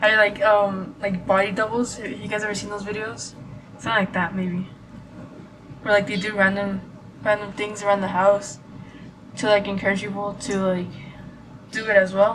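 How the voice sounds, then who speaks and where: A woman speaks at a moderate pace and medium pitch in a monotone, flat intonation, with long, frequent pauses, big swings in loudness, audible room echo and noticeable background noise. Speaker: vlogger. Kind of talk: casual vlog chat. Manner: halting, many fillers and stutters.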